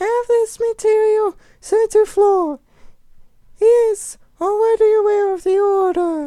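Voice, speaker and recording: In a put-on character voice, extremely high and squeaky, someone speaks at a fairly slow pace with long, frequent pauses. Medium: read story. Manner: haughty, commanding.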